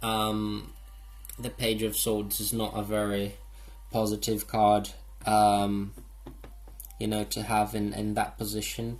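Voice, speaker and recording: The speech moves at a very slow pace, with long, frequent pauses. Music plays in the background. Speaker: tarot reader. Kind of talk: tarot reading monologue. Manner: halting, many fillers.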